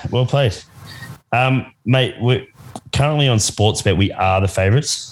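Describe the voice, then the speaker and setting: An Australian-accented man speaks at a moderate pace and medium pitch. His voice is somewhat breathy, with long, frequent pauses. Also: ordinary pitch variation, very even loudness. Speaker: guest basketball fan.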